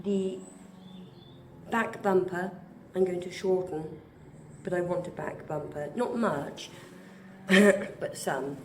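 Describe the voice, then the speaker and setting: Someone with a British accent speaks at a very slow pace with long, frequent pauses over noticeable background noise. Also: woman, medium pitch for a woman, ordinary pitch variation. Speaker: artist and amateur motorcycle restorer. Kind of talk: casual talk to camera.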